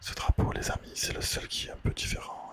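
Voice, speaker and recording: A man whispers while background noise can clearly be heard. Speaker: ASMR creator. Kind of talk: ASMR whispered quiz talk. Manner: whispered, soft-spoken.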